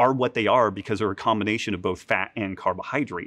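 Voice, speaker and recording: The background is quiet here. A man talks, his pitch varying in an ordinary way. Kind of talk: interview answer. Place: gym. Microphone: lapel.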